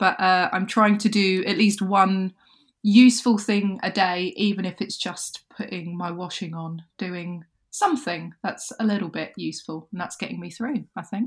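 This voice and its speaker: A woman's somewhat breathy voice with ordinary pitch variation. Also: medium pitch for a woman, moderate pace. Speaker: podcast co-host.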